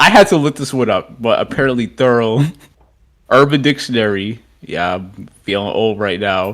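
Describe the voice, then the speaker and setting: Recorded very cleanly with a silent background, an ordinary speaking voice moves at a moderate pace with ordinary pitch variation. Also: man. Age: young. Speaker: podcast co-host. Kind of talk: casual chat.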